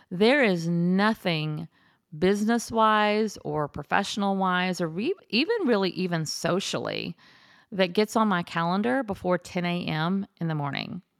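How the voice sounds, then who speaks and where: A woman speaks in an ordinary speaking voice at a medium pitch, fairly slowly and with ordinary pitch variation. The sound is dry and close with no echo, on a very clean recording with a silent background. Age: 50s. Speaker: podcast host. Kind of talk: casual monologue. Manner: conversational, with fillers.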